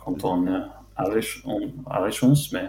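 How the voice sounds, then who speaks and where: In an English accent, a man speaks at a very slow pace. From London, England. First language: English (speaking French). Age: 20s. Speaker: football fan and club social media account runner. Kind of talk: casual chat. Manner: halting.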